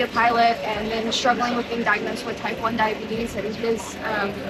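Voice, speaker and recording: Against noticeable background noise and audible room echo, a woman speaks with a fairly high pitch. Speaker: aviation nonprofit member, student pilot. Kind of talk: interview. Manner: loud.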